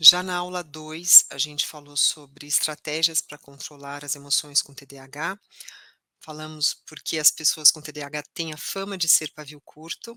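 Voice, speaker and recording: A woman's very deep, low pitch in a bright, sharp tone, with fairly even intonation, big swings in loudness and a dry, close sound with no echo. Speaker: ADHD course teacher. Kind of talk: online course lesson. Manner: slow.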